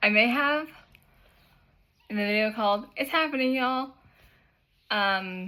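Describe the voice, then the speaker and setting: A woman speaks in a fairly high voice. Her intonation is lively. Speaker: YouTuber and cosplayer. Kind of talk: casual vlog chat.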